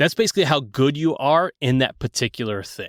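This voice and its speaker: Recorded very cleanly against a silent background, a man with a Southern US accent comes through in a dry, close sound with no echo. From US Southeast. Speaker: game designer. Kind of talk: tabletop game rules explanation. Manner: hesitant, many filler words.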